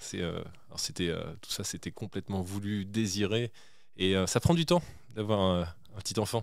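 A man talks at a moderate pace in a fairly low pitch. The recording is very clean, with a silent background. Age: 30s. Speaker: start-up CEO. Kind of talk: interview. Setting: studio. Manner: halting.

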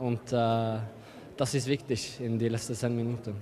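A man speaks at a fairly slow pace with a non-native accent. Light background noise sits behind him. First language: not German (speaking German). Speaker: handball player. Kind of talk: interview. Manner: halting. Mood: calm, satisfied after win. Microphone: handheld.

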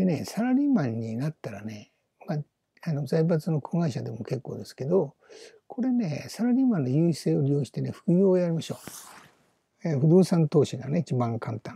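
Somewhat breathy and dark, mellow in tone, a man speaks at a moderate pace with a fairly high pitch. His pitch swings very widely and his loudness shifts in big swings. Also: dry, close sound with no echo. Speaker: business YouTuber, retired company employee. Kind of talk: solo video monologue. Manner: casual, rambling with many fillers.

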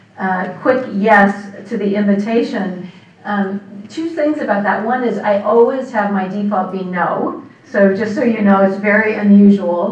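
Heard with audible room echo, a woman speaks at a fairly slow pace with ordinary pitch variation. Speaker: guest. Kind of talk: lecture. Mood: warm, smiling, light humor. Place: hall.

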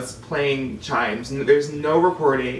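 Light background noise and audible room echo surround a man's voice. He has a fairly high pitch and fairly even intonation. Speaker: theme park performer. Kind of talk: casual conversation. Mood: amused, relaxed. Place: home room. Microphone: camera far.

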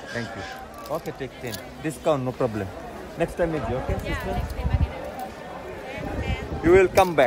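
The speaker talks at a moderate pace with long, frequent pauses, in a dry sound with no echo and crowd noise in the background. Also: man. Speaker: market stall seller. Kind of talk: casual sales talk to camera. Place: market. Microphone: phone near.

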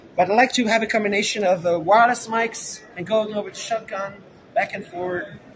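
Fairly quick delivery with ordinary pitch variation over noticeable background noise. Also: man. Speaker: tech livestreamer. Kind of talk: casual vlog chat. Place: hall. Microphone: handheld.

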